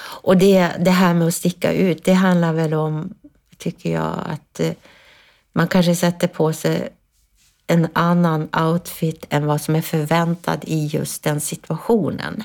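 A woman's fairly low voice at a very slow pace, on a very clean recording with a silent background. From northern Sweden, Ångermanland. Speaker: influencer and business consultant. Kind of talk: casual chat. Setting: studio. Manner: halting.

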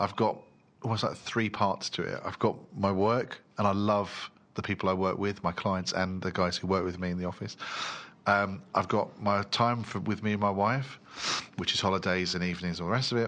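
A man at a fairly quick pace with fairly even intonation, music in the background. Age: 30s. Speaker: podcast host. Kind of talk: interview.

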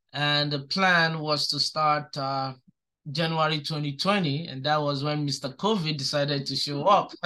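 Bright and sharp in tone, a man talks with fairly even intonation. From southeastern Nigeria. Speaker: restaurant owner. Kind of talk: interview. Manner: hesitant, many fillers.

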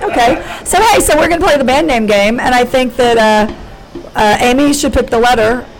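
A woman speaks at a high pitch with lively intonation and very even loudness. Noticeable background noise is present. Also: moderate pace, hardly any pauses. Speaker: podcast host, comedian. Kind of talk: casual chat. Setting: studio with co-hosts, live audience. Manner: rambling, halting.

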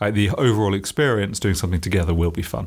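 With a British accent, a man speaks in a very deep, low pitch. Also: very clean recording, silent background. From UK. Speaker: entrepreneur, company founder. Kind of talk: interview. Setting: company office.

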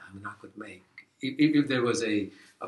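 A man with a Fijian accent, at a fairly quick pace. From Fiji (Indo-Fijian). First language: Fiji Hindi. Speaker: professor. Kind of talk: casual interview. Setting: office. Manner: halting.

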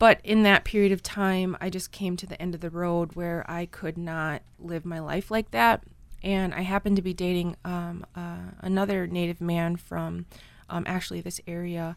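In an American accent, a woman speaks at a moderate pace with a fairly low pitch and monotone, flat intonation. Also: big swings in loudness. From northern Wisconsin, Red Cliff Ojibwe reservation. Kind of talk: faith testimony interview.

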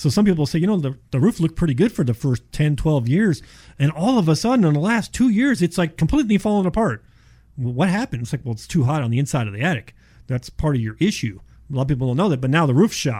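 Somewhat breathy and fairly high-pitched, this man talks at a very fast pace with very wide pitch swings. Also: very clean recording, silent background. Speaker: insulation contractor guest. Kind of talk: radio interview with sales pitch. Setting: radio studio.

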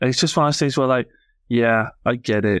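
A man with a Yorkshire accent speaks at a medium pitch with ordinary pitch variation, in a very clean recording with a silent background and a dry, close sound with no echo. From northern England. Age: 30s. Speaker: podcast co-host. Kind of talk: casual chat.

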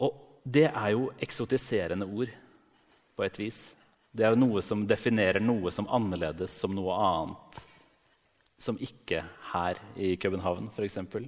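This man has a fairly low pitch and ordinary pitch variation, speaking at a very slow pace with long, frequent pauses. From Norway. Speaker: literary critic. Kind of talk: onstage interview. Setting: stage with audience.

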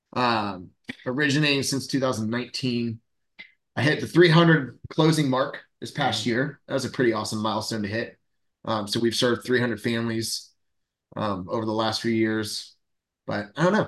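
A man with an American accent, a normal speaking voice, a medium pitch and ordinary pitch variation. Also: moderate pace. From Central Florida. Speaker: loan officer and podcast co-host. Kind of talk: casual chat.

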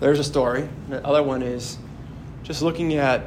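Noticeable background noise and audible room echo surround a man with an American accent. He talks at a very fast pace with fairly even intonation. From Wisconsin, near Sheboygan. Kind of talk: homily. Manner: halting, repeats words.

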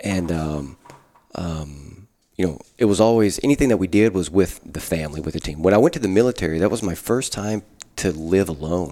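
With an Arkansas accent, a man speaks fairly quickly in a very deep, low pitch, his tone dark and mellow and his intonation lively. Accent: Southern US (Arkansas). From US South, Arkansas Delta. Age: 30s. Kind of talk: casual chat. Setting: rectory.

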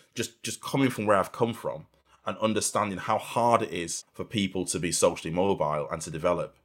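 This man is captured in a very clean recording against a silent background. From Manchester, northern England. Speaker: fund manager. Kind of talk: interview. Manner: halting.

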